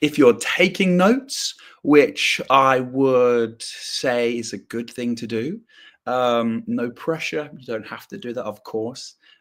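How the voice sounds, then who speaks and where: A man with a southern English accent, medium in pitch, with lively intonation. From southern England, south coast. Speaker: English teacher. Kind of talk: live online English lesson. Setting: live stream.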